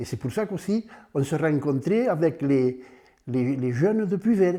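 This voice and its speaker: A man with a fairly high pitch speaks at a fairly slow pace, his dark, mellow tone carried by lively intonation. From southern France, Aude (Puivert area). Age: 90s. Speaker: retired farmer. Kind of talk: oral history interview. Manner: halting.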